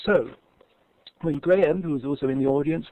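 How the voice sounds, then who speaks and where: The speaker has an English accent and a dark, mellow tone. Pitch variation is ordinary. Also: man. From England. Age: 70s. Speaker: English teacher. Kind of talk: conference presentation. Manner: halting.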